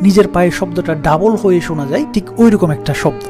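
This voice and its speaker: There is music in the background as a man speaks with a high pitch. His intonation is lively. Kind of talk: horror experience story narration.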